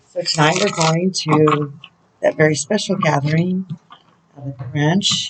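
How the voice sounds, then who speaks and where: Pausing long and often, a woman speaks at a fairly slow pace in a very deep, low pitch, somewhat breathy, with fairly even intonation. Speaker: spiritual counselor and oracle reader. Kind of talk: oracle channeling video. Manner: casual, chatty.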